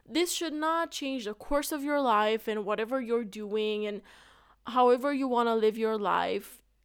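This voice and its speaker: A woman speaks in an animated tone with a fairly high pitch. Her pace is fairly slow and her pitch variation ordinary. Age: 20s. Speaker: podcast host. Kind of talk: casual monologue.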